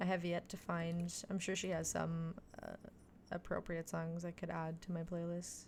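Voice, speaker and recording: With a Quebec accent, a woman talks at a fairly low pitch in a monotone, flat intonation. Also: moderate pace. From Quebec, Canada (Montreal). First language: French. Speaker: video game streamer. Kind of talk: casual live-stream chat.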